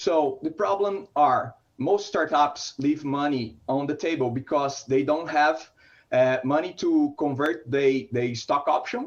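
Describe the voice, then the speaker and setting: The speaker has a Brazilian Portuguese accent and ordinary pitch variation. The pace is fairly slow. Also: man, fairly high pitch for a man. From Brazil, São Paulo. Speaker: startup founder. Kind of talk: startup pitch.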